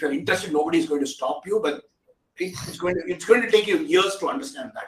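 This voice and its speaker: In an Indian accent, the speaker goes at a very fast pace, with big swings in loudness and very wide pitch swings. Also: man, high pitch for a man. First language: an Indian language. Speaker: technology expert. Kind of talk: interview discussion. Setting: video call.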